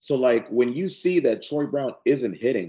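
A man's fairly high-pitched voice with vocal fry, at a fairly slow pace. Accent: American. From South Central Los Angeles. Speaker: sports podcast co-host. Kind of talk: casual chat.

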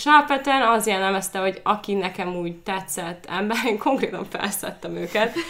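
At a moderate pace and with hardly any pauses, a woman talks at a medium pitch with ordinary pitch variation over noticeable background noise. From Slovakia, then Győr, Hungary. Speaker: psychology researcher. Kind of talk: casual chat.

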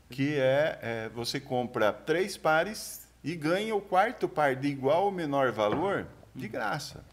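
Lively in intonation, a man with a fairly high pitch talks at a very slow pace. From Brazil, São Paulo state countryside. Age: 50s. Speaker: shoe distributor and entrepreneur. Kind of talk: casual chat. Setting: studio.

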